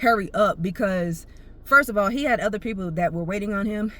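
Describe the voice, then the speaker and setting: A woman talks at a very fast pace in an animated tone. Her voice is bright and sharp. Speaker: vlogger. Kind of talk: casual storytelling monologue.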